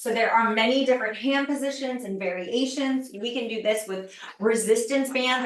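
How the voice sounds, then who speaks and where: A woman at a moderate pace with fairly even intonation, amid noticeable background noise and audible room echo. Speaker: fitness trainer. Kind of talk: online masterclass presentation.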